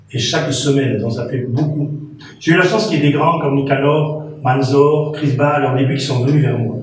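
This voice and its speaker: A man's voice with fairly even intonation at a moderate pace, amid audible room echo and noticeable background noise. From France. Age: 60s. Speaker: radio presenter and former teacher. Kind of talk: interview. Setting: TV studio.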